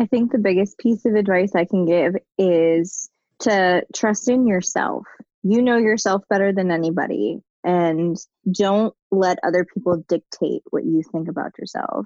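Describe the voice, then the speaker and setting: In a normal speaking voice, a woman with an American accent talks at a fairly slow pace, her pitch medium with ordinary variation. The sound is dry and close, with no echo. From Pittsburgh, US. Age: 20s. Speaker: guest, new mother. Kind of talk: casual interview. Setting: remote call.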